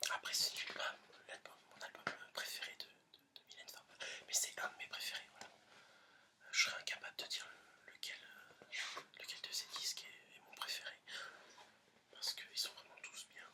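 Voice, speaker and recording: Whispering at a moderate pace with long, frequent pauses and big swings in loudness, a man is heard over noticeable background noise. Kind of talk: whispered ASMR presentation of an album to camera. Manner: whispered, soft, hesitant with filler words.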